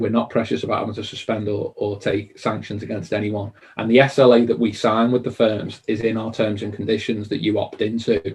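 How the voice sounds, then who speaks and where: Somewhat breathy and in a Liverpool accent, a man of medium pitch speaks at a fairly quick pace with monotone, flat intonation. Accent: Liverpool (Scouse). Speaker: conveyancing service provider. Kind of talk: interview Q&A. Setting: live online stream.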